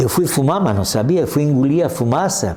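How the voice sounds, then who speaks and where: Over noticeable background noise, a man speaks at a fairly quick pace. Room echo can be heard. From Brazil, Santa Catarina (Corupá). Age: 80s+. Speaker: local elder, retired accountant. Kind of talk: oral history interview. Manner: halting, many restarts.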